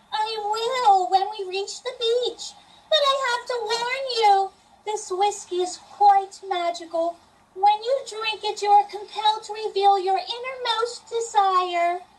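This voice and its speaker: A woman puts on a character voice at an extremely high pitch, with fairly even intonation. She speaks at a fairly slow pace, and her loudness swings widely. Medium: stage play. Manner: prim, formal.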